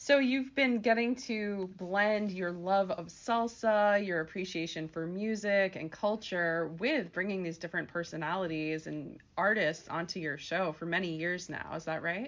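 A woman with a plain, everyday voice at medium pitch, moderate pace, ordinary pitch variation and hardly any pauses. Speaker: career coach and podcast host. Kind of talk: interview. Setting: radio studio.

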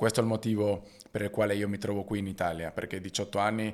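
In a very clean recording with a silent background, a man speaks very fast at a fairly low pitch with fairly even intonation. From Argentina. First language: Spanish (speaking Italian). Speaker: basketball player and entrepreneur. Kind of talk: interview.

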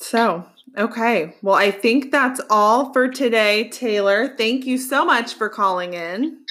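A woman with an American accent speaks at a very slow pace in a fairly high pitch, with a bright, sharp tone and ordinary pitch variation. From Colorado. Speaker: podcast host. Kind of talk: casual chat; scripted narration.

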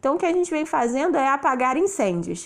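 Her intonation lively, a woman speaks at a high pitch. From Rio de Janeiro, Brazil. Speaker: English teacher and podcast host. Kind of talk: solo podcast monologue.

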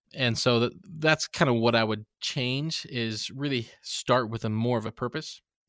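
In an unremarkable speaking voice, a man talks at a moderate pace and medium pitch with fairly even intonation, the sound dry and close with no echo. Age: 30s. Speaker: YouTube tutorial creator. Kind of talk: casual interview.

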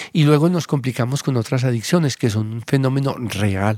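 A man speaks in an unremarkable speaking voice at a medium pitch, with ordinary pitch variation. The sound is dry and close with no echo, and the recording is very clean over a silent background. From Colombia, Antioquia (Abejorral). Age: 50s. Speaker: psychiatrist. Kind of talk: interview conversation.

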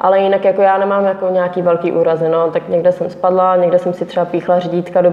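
Over noticeable background noise, a woman with a fairly low pitch talks at a fairly quick pace in a monotone, flat intonation with hardly any pauses. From Czech Republic, Pardubice. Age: 20s. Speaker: motocross rider. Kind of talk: interview.

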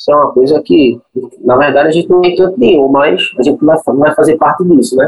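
Very even in loudness, a man's fairly high voice moves at a fairly quick pace with ordinary pitch variation. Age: 20s. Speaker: cinema projectionist. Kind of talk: interview. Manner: halting.

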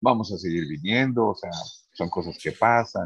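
A man's voice at a moderate pace, with lively intonation and a dry, close sound free of echo. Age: 50s. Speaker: restaurant owner. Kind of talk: interview. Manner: halting, many fillers and repetitions.

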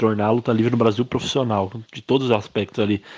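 Here a man talks very fast in a Brazilian accent. His fairly low pitch stays monotone and flat. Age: 20s. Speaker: professional wrestler. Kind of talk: interview monologue. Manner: casual, conversational.

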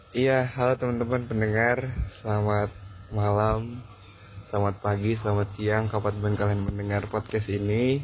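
This man talks at a moderate pace with a fairly low, somewhat breathy voice, his intonation monotone and flat and his loudness very even. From Batam, Indonesia. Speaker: university student leader. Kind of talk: casual podcast interview.

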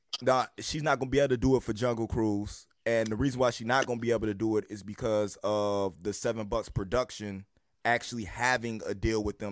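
Speaking at a fairly quick pace, a man uses an ordinary speaking voice with a fairly low pitch and ordinary pitch variation. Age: 30s. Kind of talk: casual chat.

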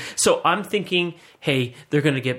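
A man speaks at a moderate pace, somewhat breathy, with ordinary pitch variation. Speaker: podcast co-host. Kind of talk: casual chat.

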